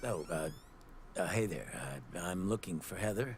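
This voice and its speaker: Over clear background noise, a man puts on a raspy character voice at a very deep, low pitch, moving at a moderate pace with ordinary pitch variation. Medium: short film. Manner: gruff.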